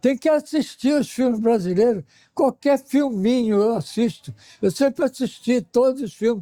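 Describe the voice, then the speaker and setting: Recorded dry and close with no echo, a man speaks at an extremely high pitch in a dark, mellow tone. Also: ordinary pitch variation, moderate pace. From Rio de Janeiro, Brazil. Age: 80s+. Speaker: painter, audience member. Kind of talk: interview testimonial.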